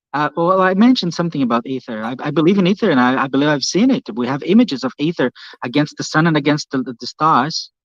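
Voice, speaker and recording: The speech comes very fast with lively intonation, recorded with a dry, close sound with no echo against a quiet background. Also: man, fairly high pitch for a man. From Brazil. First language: Portuguese. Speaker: YouTuber, ocean physics channel. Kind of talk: casual chat.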